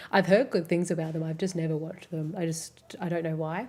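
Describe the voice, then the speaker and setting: Talking at a fairly quick pace, a woman has a dark, mellow tone, a fairly low pitch and fairly even intonation. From Australia. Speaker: streamer. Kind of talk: casual chat. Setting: live stream. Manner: fast.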